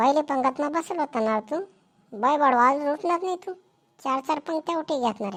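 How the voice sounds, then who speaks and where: A woman's cartoonish character voice, high-pitched with lively intonation, at a moderate pace. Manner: scolding, sarcastic.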